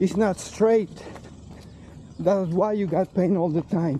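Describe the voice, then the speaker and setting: Over noticeable background noise, the speaker talks at a very slow pace. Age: 60s. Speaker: fitness vlogger. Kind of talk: personal testimony. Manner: halting.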